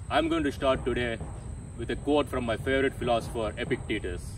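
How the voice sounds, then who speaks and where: A man talks at a fairly quick pace with vocal fry. The sound is dry with no echo, though background noise is noticeable. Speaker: fitness vlogger. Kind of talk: tutorial. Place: garden. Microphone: camera far.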